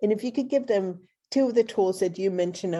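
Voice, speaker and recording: With a Swedish accent, a woman speaks in a dark, mellow tone with ordinary pitch variation over a quiet background. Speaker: podcast host. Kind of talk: interview conversation.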